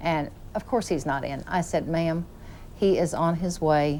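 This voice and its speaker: A woman's fairly low-pitched voice with a Southern US accent. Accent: Southern drawl. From US Midwest, southeast Missouri. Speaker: executive secretary at a TV station. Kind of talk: casual interview chat, anecdote. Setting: TV studio.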